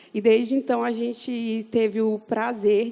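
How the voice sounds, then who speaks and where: A woman's fairly high yet dark, mellow voice with a Fortaleza accent. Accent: Northeastern Brazilian (Fortaleza). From Brazil, Fortaleza (Northeast). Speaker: church member giving testimony. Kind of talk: testimony. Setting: church event with audience.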